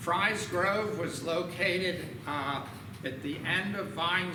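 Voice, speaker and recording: Amid noticeable background noise and audible room echo, a man speaks with ordinary pitch variation. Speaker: local historian presenter. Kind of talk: lecture. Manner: loud.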